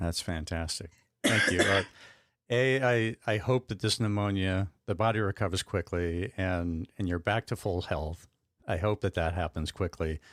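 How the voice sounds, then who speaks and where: In an unremarkable speaking voice, a man with an American accent talks at a moderate pace, his fairly low pitch showing ordinary variation, with a dry, close sound, no echo, and a very clean recording over a silent background. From Arizona. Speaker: podcast host. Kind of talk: interview.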